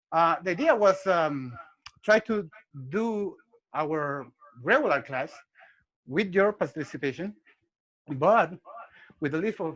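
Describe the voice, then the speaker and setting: Speaking with a Spanish accent, a man talks at a fairly slow pace in a high pitch with lively intonation and long, frequent pauses. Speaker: martial arts instructor. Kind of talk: interview. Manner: halting.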